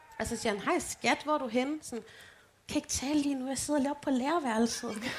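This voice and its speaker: A woman talks at a fairly quick pace. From Denmark, Holme near Aarhus. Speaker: podcast co-host. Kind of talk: live show banter. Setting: stage with audience.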